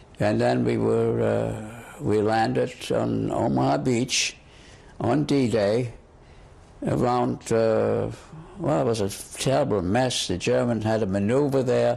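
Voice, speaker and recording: A man speaks at a fairly slow pace with very even loudness. Noticeable background noise runs underneath. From Germany. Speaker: war veteran. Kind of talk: oral history interview. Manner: halting, repeats words.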